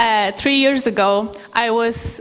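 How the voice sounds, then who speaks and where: A woman speaks with a Polish accent at a fairly high pitch. Noticeable background noise sits behind her voice. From Poland. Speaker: human rights lawyer and panel moderator. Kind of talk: conference talk. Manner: halting.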